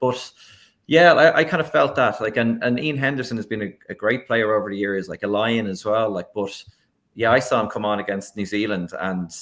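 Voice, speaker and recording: Speaking at a very fast pace, a man with an Irish accent has a fairly low voice. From Ireland. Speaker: sportswriter. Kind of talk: casual chat. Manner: halting.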